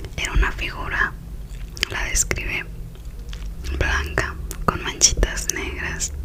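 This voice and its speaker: A woman is whispering at a very slow pace. Noticeable background noise is present. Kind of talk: ASMR whispered story, relaxation / sleep storytelling. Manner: whispered, soft, relaxing.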